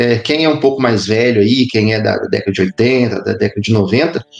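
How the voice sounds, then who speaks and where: Lively intonation comes through in a Minas Gerais accent against noticeable background noise. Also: man. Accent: Minas Gerais (mineiro). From Brazil, interior of Minas Gerais. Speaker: history professor. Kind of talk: casual interview chat.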